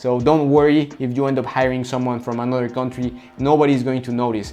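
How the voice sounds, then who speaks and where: With a Spanish accent, a man talks at a fairly quick pace, his medium pitch following a fairly even intonation. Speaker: coaching business consultant. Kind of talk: tutorial. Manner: halting, with repetitions.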